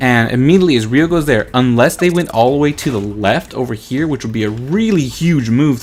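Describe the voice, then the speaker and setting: A man's lively intonation at a fairly quick pace with hardly any pauses, over noticeable background noise. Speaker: gaming video creator. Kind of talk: gameplay commentary tutorial. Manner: fast.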